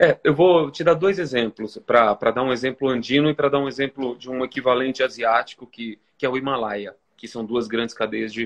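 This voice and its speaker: Recorded dry and close with no echo, a man speaks at a moderate pace and medium pitch with ordinary pitch variation. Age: 40s. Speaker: photographer and author. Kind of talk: interview. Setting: Instagram live video. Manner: halting, many repetitions.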